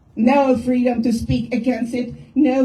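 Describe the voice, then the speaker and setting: A woman speaks with a high pitch. Room echo is audible. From Czechoslovakia. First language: Czech. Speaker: activist. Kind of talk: rally speech.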